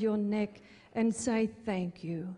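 A woman's fairly high, somewhat breathy voice with a dark, mellow tone, very slow pace and fairly even intonation. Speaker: ministry worker. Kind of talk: scripted narration.

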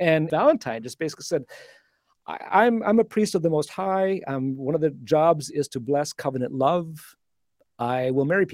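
With a Canadian accent, a man with an ordinary speaking voice talks at a moderate pace in a fairly high pitch and lively intonation, on a very clean recording with a silent background and a dry, close sound with no echo. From Canada (Alberta). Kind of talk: casual interview.

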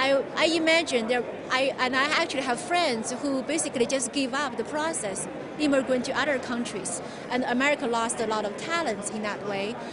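Over crowd noise in the background, a woman with a Chinese accent talks at a fairly quick pace in a high pitch with ordinary pitch variation. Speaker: author and immigrant. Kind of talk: interview.

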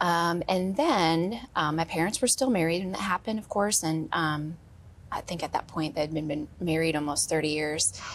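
Fairly slow and with ordinary pitch variation, a woman talks in an unremarkable speaking voice with an American accent. The recording is very clean, with a silent background. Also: fairly low pitch for a woman. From Wisconsin. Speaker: guest sharing grief story. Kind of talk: testimony. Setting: studio.

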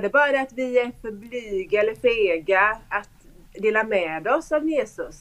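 A woman with a Swedish accent speaks at a fairly slow pace and a high pitch. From Sweden. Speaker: school pastor. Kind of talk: testimony. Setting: video call.

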